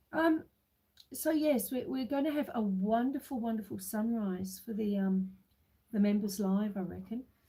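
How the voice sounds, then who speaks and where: A woman speaks in a dark, mellow tone at a fairly slow pace. Her pitch swings very widely. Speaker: homestead livestreamer. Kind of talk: casual livestream chat. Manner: relaxed, unhurried.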